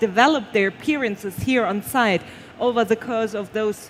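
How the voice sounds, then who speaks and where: Speaking with a non-native accent, a woman uses a fairly high voice with ordinary pitch variation. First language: not English. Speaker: award show presenter. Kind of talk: live award presentation.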